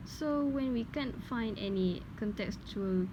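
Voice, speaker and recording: A woman with a Malaysian accent speaks at a fairly slow pace in a fairly high pitch. Her voice is somewhat breathy, with ordinary pitch variation. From Malaysia, Perak. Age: young. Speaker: linguistics student. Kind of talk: scripted dialogue for class assignment.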